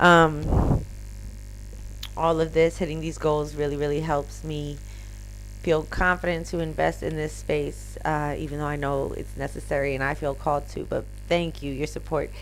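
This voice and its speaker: A woman speaks at a moderate pace with a Philadelphia accent, and the room echo is audible. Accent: Philadelphia American English. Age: 30s. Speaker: live streamer. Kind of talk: casual live stream chat.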